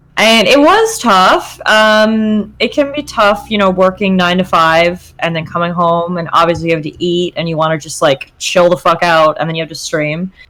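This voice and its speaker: A woman with an unremarkable speaking voice talks at a fairly low pitch with ordinary pitch variation. She keeps a moderate pace with hardly any pauses. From Canada, Newfoundland. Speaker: law student and streamer. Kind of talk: casual chat.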